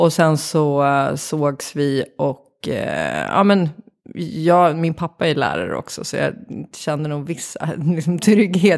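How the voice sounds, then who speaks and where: There is vocal fry in this woman's very deep, low voice. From Sweden, Vattholma (Uppsala area). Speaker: creative director and organisational consultant. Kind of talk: interview conversation. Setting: home kitchen studio.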